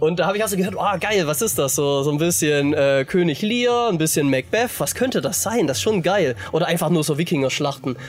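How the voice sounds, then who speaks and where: A man talks at a fairly quick pace with hardly any pauses, his fairly high pitch carrying lively intonation. His loudness stays very even over noticeable background noise. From Baden-Württemberg, southwest Germany. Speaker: metal musician. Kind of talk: casual chat. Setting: outdoors at a festival campground.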